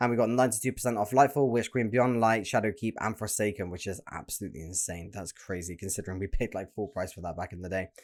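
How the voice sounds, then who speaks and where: A man's fairly low voice with a British accent, very fast with hardly any pauses, ordinary pitch variation and big swings in loudness, on a very clean recording with a silent background. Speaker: gaming YouTuber. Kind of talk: reaction video reading news aloud. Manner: stuttering, hurried.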